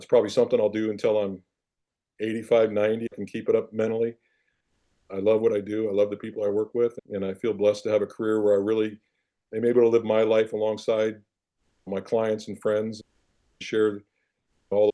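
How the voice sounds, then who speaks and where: In a quiet background, a man with a Midwestern US accent speaks in a fairly low pitch and a dark, mellow tone, with flat, monotone intonation and long, frequent pauses. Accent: US Midwest. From Iowa, small town. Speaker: former football player, financial advisor. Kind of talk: interview.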